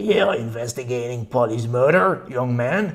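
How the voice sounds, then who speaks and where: A man puts on a raspy character voice at medium pitch, with lively intonation and a moderate pace. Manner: whispering.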